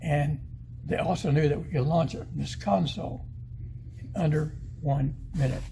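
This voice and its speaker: A man with an American accent speaks at a moderate pace, leaving long, frequent pauses, with audible room echo. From northeast Arkansas. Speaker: retired missile specialist, museum docent. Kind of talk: museum guided talk. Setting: museum exhibit. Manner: animated.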